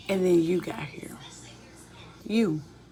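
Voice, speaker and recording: Noticeable background noise sits behind a woman speaking in a calm tone. Her pace is fairly slow and her pitch varies in an ordinary way. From US South, Memphis, Tennessee. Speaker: spiritual life coach. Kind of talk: live stream monologue. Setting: at home in kitchen. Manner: low, calm speaking.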